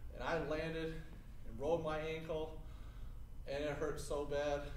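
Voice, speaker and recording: There's a bit of background noise and a noticeable room echo around this man's speech. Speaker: teacher demonstrating exercise. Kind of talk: tutorial. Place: gym.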